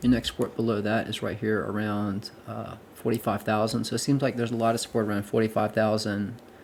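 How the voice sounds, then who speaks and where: Here a man talks at a fairly quick pace. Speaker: crypto trading youtuber. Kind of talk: market analysis tutorial. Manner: fast; hesitant with fillers and repeats.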